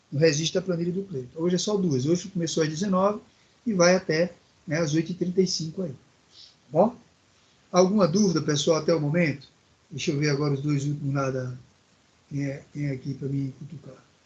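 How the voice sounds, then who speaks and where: A man talks at a fairly quick pace in a fairly high pitch. His pitch variation is ordinary, and he takes long, frequent pauses. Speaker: technical course teacher. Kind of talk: online class lecture. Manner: calm, clear pace.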